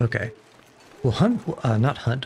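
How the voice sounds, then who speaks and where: In an American accent, a normal speaking voice moves at a fairly quick pace. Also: man. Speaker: vtuber gaming streamer. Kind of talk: live gameplay commentary.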